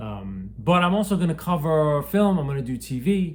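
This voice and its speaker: A man's voice swings very widely in pitch. It sounds somewhat breathy. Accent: American. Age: 50s. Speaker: booktuber. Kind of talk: casual vlog. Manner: halting.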